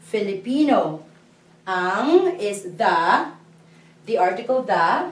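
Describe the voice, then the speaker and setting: A somewhat breathy woman's voice with very wide pitch swings and audible room echo. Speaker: language teacher. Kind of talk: lecture. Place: classroom. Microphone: camera far.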